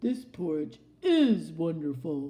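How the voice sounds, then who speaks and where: A woman puts on a character voice. Her pitch is very deep and low. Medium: read story.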